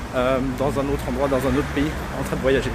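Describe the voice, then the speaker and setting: Noticeable background noise fills the recording. Through it comes a man's voice. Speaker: real estate investor and website founder. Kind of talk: walking vlog tutorial. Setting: outdoors, walking in the street. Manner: fast.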